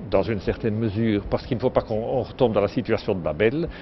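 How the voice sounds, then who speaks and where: The speaker's pitch rises and falls in an ordinary way over noticeable background noise. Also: man. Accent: Liège. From Belgium, Liège. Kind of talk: interview. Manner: halting, repeats words.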